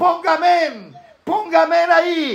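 With an animated tone, a man is speaking. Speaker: preacher. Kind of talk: sermon. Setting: church with live congregation, also streamed online. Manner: animated, exhortative preaching with repetition and call-and-response.

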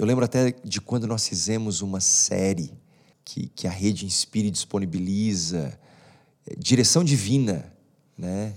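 Delivery comes at a fairly slow pace with long, frequent pauses and ordinary pitch variation. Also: man, fairly low pitch for a man. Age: 30s. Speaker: pastor. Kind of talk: casual interview.

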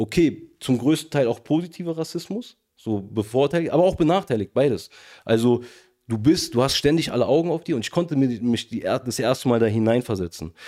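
A man's dark, mellow voice at medium pitch, fairly quick in pace with lively intonation, on a very clean recording with a silent background. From Berlin, Charlottenburg. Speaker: rapper. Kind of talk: casual discussion.

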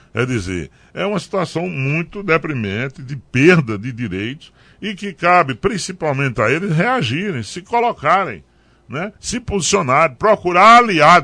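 A man's fairly high, bright, sharp voice with vocal fry at a fairly slow pace, with very wide pitch swings and big swings in loudness, over a quiet background. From Pernambuco sertão, Brazil. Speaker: politician, former mayor. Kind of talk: radio interview. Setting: radio studio.

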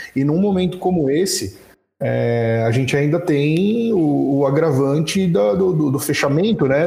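A man with a fairly high pitch sounds somewhat breathy, with a dark, mellow tone. His intonation is lively, and audible room echo surrounds him. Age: 20s. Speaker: retail store manager. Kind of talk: casual group discussion. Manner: hesitant, many fillers.

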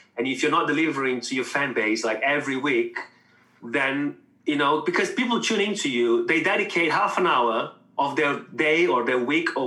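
Fairly high pitch for a man, ordinary pitch variation, and noticeable background noise behind him. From Brazil. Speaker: musician, guitarist. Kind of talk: casual chat.

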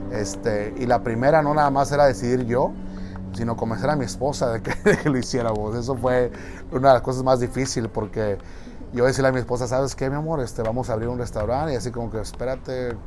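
Over noticeable background noise and audible room echo, a man talks fairly quickly at medium pitch with ordinary pitch variation. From Mexico, Monterrey. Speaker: restaurant owner. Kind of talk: interview. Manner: halting, with frequent repetitions and fillers.

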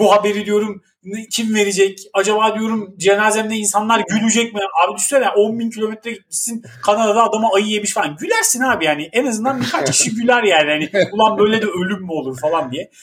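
Here a man speaks fairly quickly. His voice is high-pitched, and its pitch varies in an ordinary way. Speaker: podcast co-host, father. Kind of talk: casual chat. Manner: animated.

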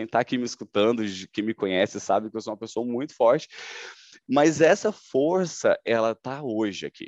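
A man at medium pitch and moderate pace, an ordinary speaking voice, talks with lively intonation in a dry, close sound with no echo against a quiet background. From Goiânia, Brazil. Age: 30s. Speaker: sales manager. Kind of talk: testimony.

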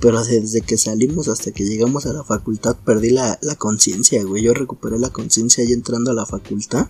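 At a fairly quick pace and with hardly any pauses, a man talks in a dark, mellow tone at medium pitch with fairly even intonation. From Naucalpan, Mexico City area. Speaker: podcast co-host. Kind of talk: casual chat.

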